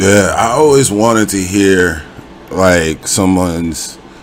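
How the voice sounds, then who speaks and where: Pitch varies in an ordinary way. Background noise is noticeable throughout. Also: man. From Los Angeles, US. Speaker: YouTube interviewer. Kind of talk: casual interview.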